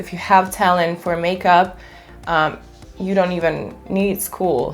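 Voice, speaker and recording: Music plays in the background as a woman speaks. She has a non-native accent and a fairly low pitch. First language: not English. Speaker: beauty influencer and makeup artist. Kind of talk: chit-chat makeup tutorial. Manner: casual, conversational.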